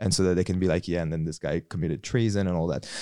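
A man speaks very fast in a French accent with very deep, low pitch. The recording is very clean, its background silent. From New Caledonia. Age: 30s. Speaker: former fashion industry worker. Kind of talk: casual chat.

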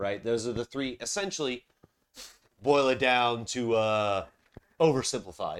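With a slight Southern US accent, the speaker talks at a fairly slow pace, leaving long, frequent pauses and using ordinary pitch variation. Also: man, medium pitch for a man. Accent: general American, little Southern. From Charleston, South Carolina. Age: 30s. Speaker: podcast host. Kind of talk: casual chat. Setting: home recording, beer drinking. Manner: casual, profane.

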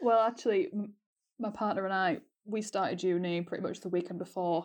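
A woman talks at a very fast pace with a Yorkshire accent. The background is quiet. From North Yorkshire, England. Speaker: university student. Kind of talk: casual chat.

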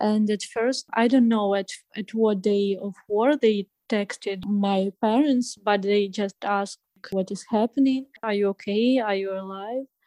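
A woman with a Ukrainian accent speaks at a fairly slow pace. Her pitch is medium and her intonation stays fairly even. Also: dry, close sound with no echo. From Ukraine. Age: 20s. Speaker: refugee. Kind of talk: interview. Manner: halting.

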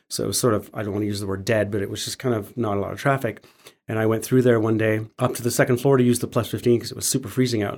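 Speaking at a very fast pace, a man with a Western Canadian accent has a medium pitch. His intonation is monotone and flat. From Canada, Alberta (Calgary). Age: 50s. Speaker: muralist and public artist. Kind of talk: casual chat. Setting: studio.

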